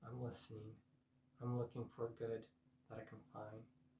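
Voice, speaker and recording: A soft-spoken, somewhat breathy man talks at a moderate pace. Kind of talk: personal vlog monologue.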